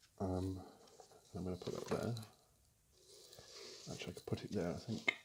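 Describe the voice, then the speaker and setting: A man speaks with a somewhat breathy voice and fairly even intonation. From UK. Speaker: amateur artist making drawing tutorials. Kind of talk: casual talk to camera, art tutorial. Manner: hesitant, casual, ASMR-style tutorial.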